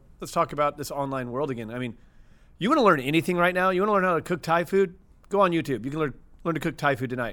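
Speech in an American accent comes at a very fast pace with lively intonation. The recording is very clean, with a silent background. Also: man, fairly high pitch for a man. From US Midwest, St. Louis, Missouri. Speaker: media entrepreneur. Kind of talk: casual interview chat. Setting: studio.

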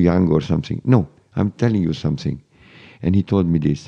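In a Hungarian accent, a man talks at a moderate pace in a very deep, low pitch with a dark, mellow tone. The sound is dry and close, with no echo. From Hungary, Budapest. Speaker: conductor. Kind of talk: interview. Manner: halting.

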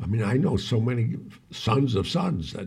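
This man speaks at a medium pitch with a dark, mellow tone. His delivery is fairly slow and carries vocal fry. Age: 70s. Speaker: podcast co-host, former actor and club owner. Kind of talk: casual chat. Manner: halting.

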